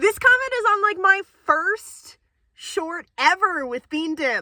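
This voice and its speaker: This woman has a bright, sharp tone and a raised, projected voice. The sound is dry and close, with no echo. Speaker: bird trainer and video creator. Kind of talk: casual chat. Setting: outdoors.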